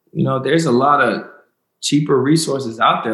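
Against audible room echo, a man with an American accent speaks at a fairly high pitch. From US South, North Carolina. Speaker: professional football player. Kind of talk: interview.

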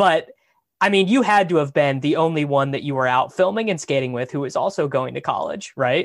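Speaking with a normal speaking voice and an American accent, a man talks at a fairly quick pace with fairly high pitch and lively intonation. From Kansas. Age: 20s. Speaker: podcast host. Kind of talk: casual chat.

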